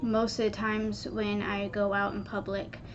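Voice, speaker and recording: At a fairly slow pace, a woman talks in a medium-pitched voice, with audible echo from the room. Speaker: vlogger. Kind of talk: personal vlog.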